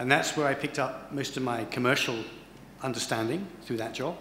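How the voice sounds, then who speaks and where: A man with an English accent talks at a fairly quick pace with ordinary pitch variation. Light background noise and audible room echo are present. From England. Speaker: corporate HR executive; guest lecturer. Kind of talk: lecture. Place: hall. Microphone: podium.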